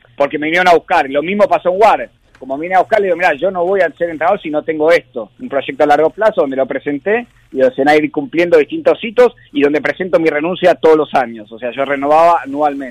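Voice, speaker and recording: Speaking at a very fast pace, a man with a fairly high pitch and ordinary pitch variation sounds dry and close, with no echo. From Argentina. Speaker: rugby sevens coach. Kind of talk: interview.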